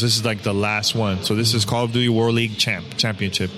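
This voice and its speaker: Against music in the background, a man with an American accent talks at a very fast pace, keeping his medium pitch in fairly even intonation. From Miami, Florida. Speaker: gaming podcaster. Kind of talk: casual interview. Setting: backstage at a gaming event.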